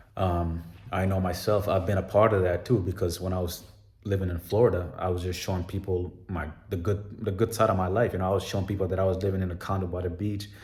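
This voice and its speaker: A man talks at a very fast pace with a very deep, low pitch, a somewhat breathy sound and monotone, flat intonation. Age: 30s. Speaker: vlogger. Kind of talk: personal vlog monologue. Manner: casual, filler-heavy.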